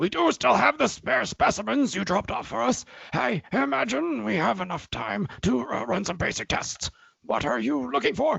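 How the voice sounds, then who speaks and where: A man's raspy put-on character voice, fairly high, with very wide pitch swings at a moderate pace. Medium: audio drama. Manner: hesitant, stammering.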